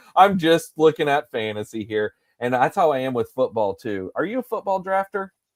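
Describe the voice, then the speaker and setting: On a very clean recording with a silent background, a man talks at a fairly quick pace in an animated tone with very wide pitch swings. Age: 40s. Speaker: fantasy baseball live streamer. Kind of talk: casual chat.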